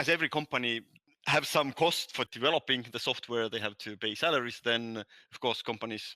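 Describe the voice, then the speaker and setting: In a Nordic accent, a man with a medium pitch and a bright, sharp tone talks at a fairly quick pace with ordinary pitch variation, recorded dry and close with no echo against a very clean, silent background. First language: Estonian. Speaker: language app founder, ex-physicist. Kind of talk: podcast interview. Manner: halting.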